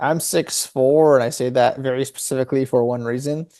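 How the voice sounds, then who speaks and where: Fairly even in intonation, a man speaks with a dark, mellow tone. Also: quiet background. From Canada (childhood from about age 8-11, earlier refugee in Germany). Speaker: health tech company head. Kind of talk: podcast interview. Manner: casual, storytelling.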